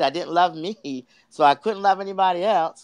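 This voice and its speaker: With an American accent and a plain, everyday voice, a man talks at a moderate pace with ordinary pitch variation against a quiet background. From US East Coast, Delaware. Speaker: life coach and speaker. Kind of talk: interview testimony.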